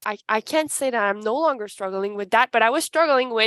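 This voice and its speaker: In a Quebec accent, a woman projects a raised voice with a bright, sharp tone and lively intonation. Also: dry, close sound with no echo. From Canada, Ottawa-Gatineau region. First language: French. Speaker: human resources advisor. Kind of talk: panel presentation. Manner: halting.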